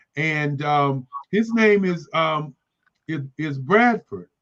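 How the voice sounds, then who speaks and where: A man with a plain, everyday voice uses lively intonation at a fairly high pitch. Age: 60s. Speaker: artist. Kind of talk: interview.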